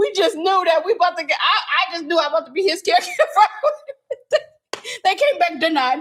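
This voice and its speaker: A woman speaks loud at an extremely high pitch. Her pace is moderate. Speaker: real estate investor and live show co-host. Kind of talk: casual live chat.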